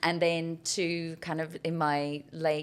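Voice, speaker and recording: A woman speaks with an Irish accent. Her pitch is very deep and low. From Ireland, Cork. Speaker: business leader. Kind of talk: podcast interview. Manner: loud.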